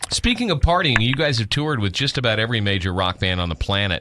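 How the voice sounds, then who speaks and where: Fairly quickly, a man talks with an American accent. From Texas, San Antonio. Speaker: radio interviewer. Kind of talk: interview. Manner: enthusiastic, animated.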